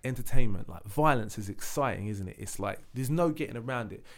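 A man speaks with a London accent. His medium pitch carries lively intonation. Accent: London, multicultural London English. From East London (Leytonstone). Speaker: singer. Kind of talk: casual chat.

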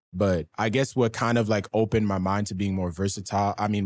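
This man has an ordinary speaking voice, a fairly low pitch and fairly even intonation, heard on a very clean recording with a silent background. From Canada, Ottawa (East End). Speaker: rapper. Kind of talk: interview.

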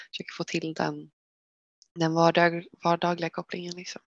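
In a dry, close sound with no echo, a woman with a fairly low pitch talks at a fairly quick pace. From Sweden, Västervik in Småland. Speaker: clothing company co-founder. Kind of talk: podcast interview.

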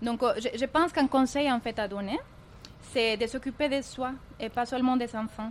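With a Spanish accent, a woman talks at a fairly slow pace in a fairly high pitch. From Colombia. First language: Spanish (speaking French). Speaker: entrepreneur. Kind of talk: interview.

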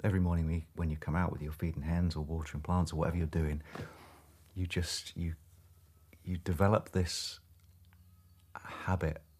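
In a very clean recording with a silent background, a man speaks in a very deep, low, somewhat breathy voice, with monotone, flat intonation and long, frequent pauses. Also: fairly quick pace. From southeast England. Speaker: crofter and firefighter. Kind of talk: interview.

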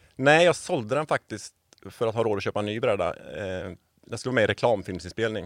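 In a very clean recording with a silent background, a man talks at a very fast pace and medium pitch. His intonation is lively, and the sound is dry and close with no echo. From Sweden, Borås. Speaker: environmental organisation worker. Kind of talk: interview conversation. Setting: studio.

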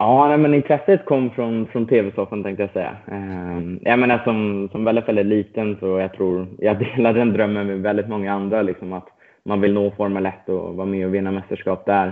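Speaking with hardly any pauses, a man keeps a moderate pace. His pitch is fairly low and his intonation fairly even. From Sweden, Stockholm. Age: 20s. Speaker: racing driver. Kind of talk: interview. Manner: hesitant, many fillers.

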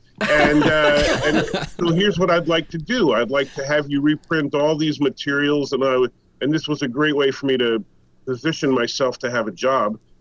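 With noticeable background noise behind him, a man talks at a moderate pace with a fairly high pitch and ordinary pitch variation. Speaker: comics historian and writer. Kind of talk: interview.

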